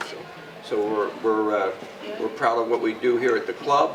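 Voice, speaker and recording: Both audible room echo and noticeable background noise are present in this recording. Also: man. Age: 70s. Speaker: country club director. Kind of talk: welcome speech to students. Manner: animated.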